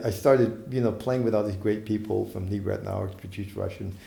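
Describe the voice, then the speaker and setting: Speaking with a somewhat breathy voice, a man is heard with audible room echo. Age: 60s. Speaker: saxophonist. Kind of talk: interview. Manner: halting.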